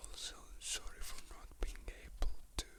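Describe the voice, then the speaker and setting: Someone whispers at a fairly slow pace. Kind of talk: casual talk to camera. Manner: whispered.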